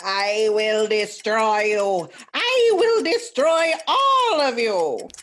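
A put-on character voice, fairly high in pitch, delivers its lines at a very slow pace. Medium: audio drama. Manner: menacing, shouting.

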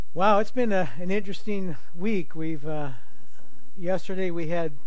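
The sound is dry with no echo as a man talks at a moderate pace with ordinary pitch variation. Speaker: pastor. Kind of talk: sermon. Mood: calm, earnest. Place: church. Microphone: headset.

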